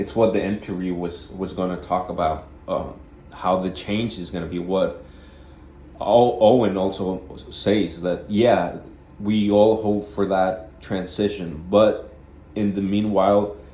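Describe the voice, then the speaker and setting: A man with a fairly low voice and a dark, mellow tone speaks at a fairly slow pace. His intonation is fairly even, and there is audible room echo. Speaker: vlogger. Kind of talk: casual monologue. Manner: halting, with repeated words.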